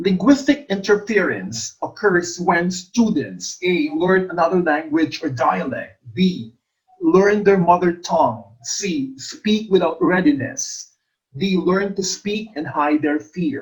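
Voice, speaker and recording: A very slow pace in an Ilonggo accent. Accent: Filipino (Ilonggo) English. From Philippines, Iloilo. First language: Hiligaynon. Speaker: English teacher, exam review coach. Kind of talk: lecture, exam review.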